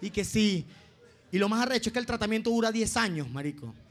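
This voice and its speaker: Talking at a very fast pace, a man with a Venezuelan accent uses a high pitch. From Venezuela, Los Llanos. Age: 20s. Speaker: comedian. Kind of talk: stand-up. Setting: stage with audience.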